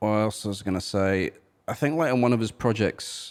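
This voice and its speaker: This very clean recording has a silent background. A man speaks with a British accent. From Britain. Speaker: musician and podcast co-host. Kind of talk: casual chat.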